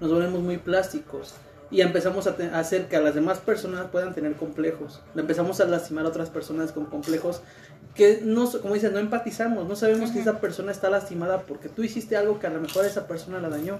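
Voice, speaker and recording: Over noticeable background noise, a man with a high voice talks at a very fast pace. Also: ordinary pitch variation. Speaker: tattoo studio member. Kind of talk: casual chat.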